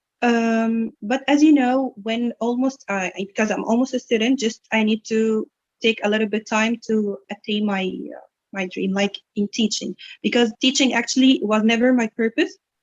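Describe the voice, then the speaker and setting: A woman with an Egyptian accent talks at a moderate pace. Her pitch is fairly high, with ordinary variation. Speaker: English instructor and student. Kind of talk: interview.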